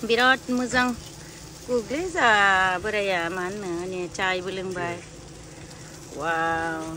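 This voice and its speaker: Speaking very slowly with long, frequent pauses, a woman uses ordinary pitch variation in a dry recording with no echo and light background noise. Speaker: vlogger. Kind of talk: casual vlog chat. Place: open country. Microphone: phone near.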